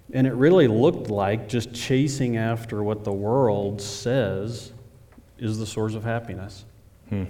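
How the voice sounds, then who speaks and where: A man with an American accent talks at a fairly low pitch and a moderate pace. His tone is dark and mellow, with ordinary pitch variation. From Oklahoma, near Oklahoma City. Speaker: church member. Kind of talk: testimony. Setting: church stage with audience.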